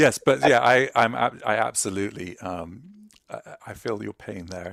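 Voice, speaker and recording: The speaker has an English accent and talks at a moderate pace. The pitch varies in an ordinary way. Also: man. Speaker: UX expert. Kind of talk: casual panel chat.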